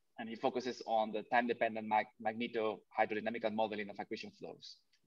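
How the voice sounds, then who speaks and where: This man speaks at a fairly quick pace with a fairly low pitch. He has an ordinary speaking voice. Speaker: seminar moderator. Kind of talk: formal introduction. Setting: video call. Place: home room. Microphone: webcam.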